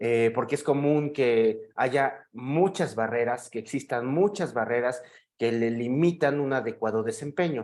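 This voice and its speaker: A man with a Mexican accent, fairly slow pace, and lively intonation. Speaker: psychiatrist. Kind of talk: lecture. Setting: video call. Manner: halting with fillers.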